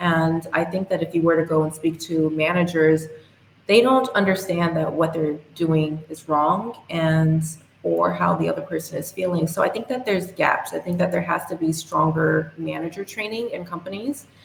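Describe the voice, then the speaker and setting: A woman with a fairly low pitch speaks with ordinary pitch variation over noticeable background noise. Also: moderate pace. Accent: American. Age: young. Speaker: youth and women's rights advocate. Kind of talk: podcast interview.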